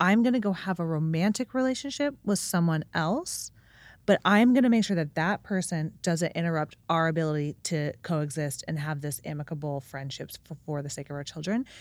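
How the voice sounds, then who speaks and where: A woman with a normal speaking voice talks at a moderate pace, her fairly low pitch carrying lively intonation. The recording is very clean, with a silent background. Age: 30s. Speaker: businesswoman and amateur pickleball player. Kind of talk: casual chat.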